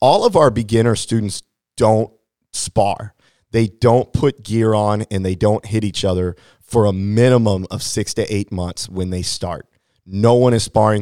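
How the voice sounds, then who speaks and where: The very clean recording has a silent background and a dry, close sound with no echo. A man with a Midwestern American accent speaks fairly slowly at a fairly low pitch, his tone dark and mellow. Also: fairly even intonation. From Hannibal, Missouri, US Midwest. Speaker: martial arts instructor. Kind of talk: interview.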